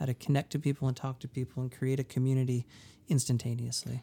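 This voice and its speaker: An American-accented man talks at a very fast pace, somewhat breathy, with a dark, mellow tone, fairly even intonation and a dry, close sound with no echo. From New Hampshire, US. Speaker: musician, songwriter. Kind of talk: casual interview chat. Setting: touring, interview at a festival.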